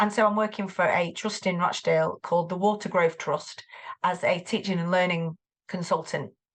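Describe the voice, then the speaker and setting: Over a quiet background, a woman with a Mancunian accent speaks at a moderate pace and medium pitch with fairly even intonation. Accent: Greater Manchester. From Greater Manchester, northern England. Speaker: tutor and former English teacher. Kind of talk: podcast interview. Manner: hesitant, many fillers and repeats.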